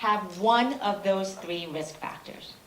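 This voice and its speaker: A woman talks over noticeable background noise, with audible room echo. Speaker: cardiologist. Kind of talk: conference talk. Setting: stage with audience. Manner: fast.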